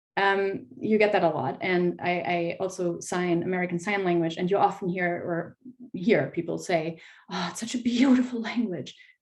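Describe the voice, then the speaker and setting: In a German accent, a woman talks at a moderate pace and medium pitch with ordinary pitch variation. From Germany. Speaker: fantasy author. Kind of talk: panel discussion.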